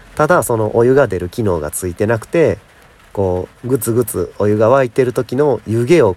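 A man's pitch swings very widely as he talks, and noticeable background noise is present. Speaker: podcaster and YouTuber. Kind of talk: casual solo talk. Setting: recording outdoors in rain.

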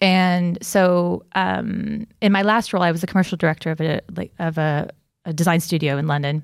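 With an unremarkable speaking voice, a woman talks at a moderate pace and fairly low pitch. Her intonation is fairly even, and the recording is very clean with a silent background. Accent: American. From United States. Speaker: creative business consultant. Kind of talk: casual chat.

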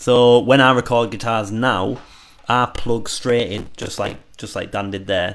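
A man talks at a fairly slow pace in an unremarkable speaking voice. His pitch is medium, with fairly even intonation. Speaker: musician and guitarist, band member. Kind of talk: casual livestream chat about making a song. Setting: live stream. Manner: chatty, laughs often.

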